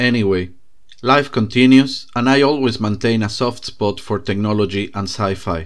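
He speaks with a non-native accent at a moderate pace. The man's pitch is fairly low, with ordinary variation. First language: not English. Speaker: podcast host. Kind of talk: scripted narration.

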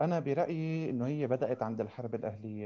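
This man has a medium pitch and a dark, mellow tone. His pitch varies in an ordinary way. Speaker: podcast co-host. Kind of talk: casual discussion.

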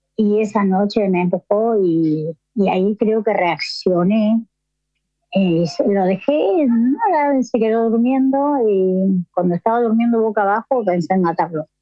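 A woman at a fairly slow pace and medium pitch, an ordinary speaking voice, very even loudness and lively intonation. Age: 50s. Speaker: amateur marathon runner searching for her son. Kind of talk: interview testimony.

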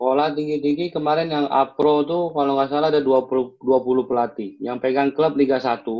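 At a moderate pace, a man with a fairly high pitch and fairly even intonation talks in an ordinary speaking voice. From Jakarta. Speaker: former professional footballer and coach. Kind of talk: casual interview.

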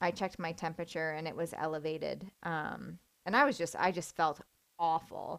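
The recording is very clean, with a silent background. The speaker uses vocal fry, ordinary pitch variation and a moderate pace. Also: woman, fairly low pitch for a woman. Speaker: podcast host. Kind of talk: solo podcast monologue. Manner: casual, conversational, with filler words.

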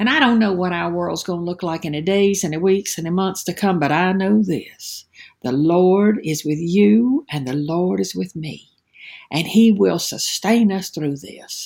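A woman's fairly low, normal speaking voice with lively intonation at a fairly slow pace. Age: 60s. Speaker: preacher. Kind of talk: devotional sermon. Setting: at home.

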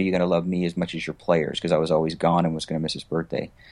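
Against a quiet background, a man with an American accent speaks in a flat, monotone way. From US West Coast. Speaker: entrepreneur. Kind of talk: interview.

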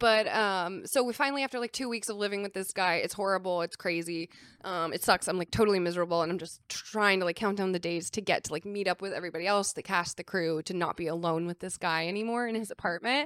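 Speaking very fast with hardly any pauses, a woman with an American accent comes through in a dry, close sound with no echo. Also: medium pitch for a woman, ordinary pitch variation. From San Diego, California. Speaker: film producer. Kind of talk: casual chat.

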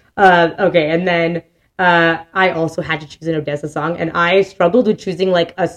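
Here is a woman with an unremarkable speaking voice. Her pitch is fairly low and her pace fairly quick. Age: 30s. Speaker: podcast co-host and teacher. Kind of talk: casual chat. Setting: studio.

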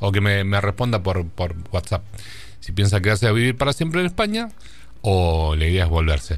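A man in a Rioplatense accent speaks at a moderate pace with a fairly low pitch and lively intonation. His loudness stays very even. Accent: Argentine Spanish (rioplatense). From Argentina, General Pico (La Pampa). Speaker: radio host. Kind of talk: casual radio interview.

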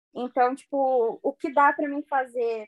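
With a dry, close sound and no echo, a woman speaks at a high pitch with ordinary pitch variation. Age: 20s. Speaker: podcast guest. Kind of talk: casual chat.

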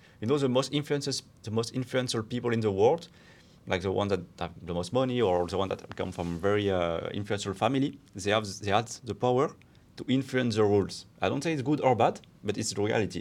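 With a French accent, a man talks at a very fast pace, his fairly low pitch showing ordinary pitch variation. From France. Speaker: podcast co-host. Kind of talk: casual chat.

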